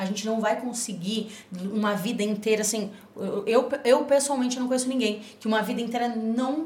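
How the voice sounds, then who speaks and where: Amid noticeable background noise, a woman speaks at a moderate pace in a fairly high pitch with ordinary pitch variation. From Rio Grande do Sul, Brazil. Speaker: nutrition guest. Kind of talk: casual chat. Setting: studio.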